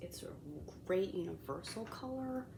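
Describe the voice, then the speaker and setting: Audible room echo around a woman speaking at a medium pitch and moderate pace. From Colombian heritage. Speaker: beauty vlogger. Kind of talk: makeup review tutorial. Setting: home, kids sleeping nearby. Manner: casual, filler-heavy; whispering.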